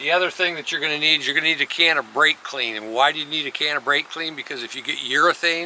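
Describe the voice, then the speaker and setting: Over noticeable background noise, a man rattles along at a very fast pace in a fairly high pitch. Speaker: auto glass installer. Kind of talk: tutorial. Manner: casual.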